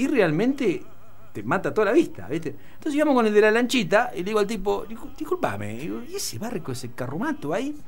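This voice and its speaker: Pitch swings very widely as the speaker talks at a fairly quick pace. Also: man. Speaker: radio host or panelist. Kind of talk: casual radio talk, storytelling. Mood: amused, mocking. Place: studio. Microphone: studio mic.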